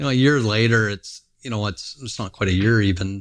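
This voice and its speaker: A man with a Canadian prairie accent talks at a moderate pace with fairly even intonation against a quiet background. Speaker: grain trader, company founder. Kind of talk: casual interview conversation. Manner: halting, many fillers and restarts.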